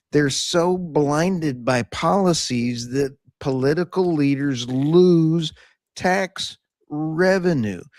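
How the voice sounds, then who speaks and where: At a very slow pace, a man with an American accent speaks in a fairly high voice with ordinary pitch variation. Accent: Tex Okie. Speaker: podcast co-host. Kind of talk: round table discussion.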